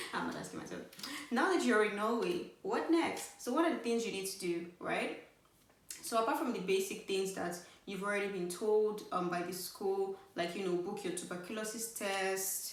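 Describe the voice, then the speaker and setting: With an animated tone, a woman speaks at a moderate pace and medium pitch with ordinary pitch variation, amid audible room echo and noticeable background noise. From Nigeria. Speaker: YouTuber giving study-abroad advice. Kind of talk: casual vlog talk to camera.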